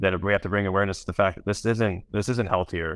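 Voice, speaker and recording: At a very fast pace, a man talks with a very deep, low pitch. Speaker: plant-based seafood startup founder. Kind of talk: panel discussion. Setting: video call.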